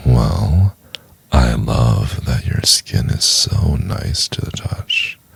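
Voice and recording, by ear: A man puts on a character voice at an extremely low pitch, very slow, with big pitch swings and a fairly bright tone. It is gravelly, breathy and husky with a rough edge and vocal fry.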